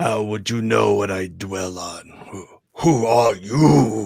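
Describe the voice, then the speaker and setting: Using a put-on character voice, a man speaks very slowly in a raspy, fairly low pitch. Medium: game stream. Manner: suspicious, blunt.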